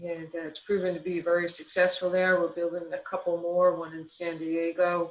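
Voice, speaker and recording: Someone speaks at a moderate pace with a New Jersey accent. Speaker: federal transportation research official. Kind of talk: conference keynote presentation. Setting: online conference. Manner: many fillers, halting.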